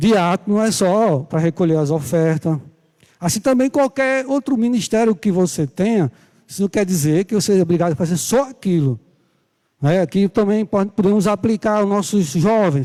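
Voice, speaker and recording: Heard on a very clean recording with a silent background, a man speaks at a high pitch with a dark, mellow tone. His intonation is lively, his loudness very even, and the sound dry and close with no echo. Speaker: Bible school teacher. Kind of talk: sermon. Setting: church livestream. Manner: soft-spoken; slow.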